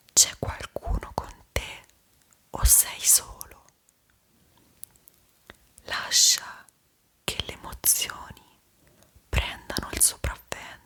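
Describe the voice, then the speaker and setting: A woman whispers in a soothing tone at a very slow pace, with long, frequent pauses. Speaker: ASMR creator, guided meditation guide. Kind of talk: guided meditation / sleep visualization. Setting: studio, close-mic with calm background melody. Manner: whispered, slow, soothing.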